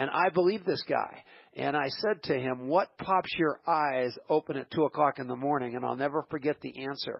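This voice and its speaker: The delivery has an animated tone. Its pitch varies in an ordinary way. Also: man, fairly high pitch for a man, moderate pace. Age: 60s. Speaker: radio host. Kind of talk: radio interview.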